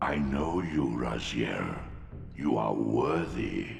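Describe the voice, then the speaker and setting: A cartoonish character voice from a man, very slow pace, clear echo, faint music in the background. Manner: slow, imperious, ominous.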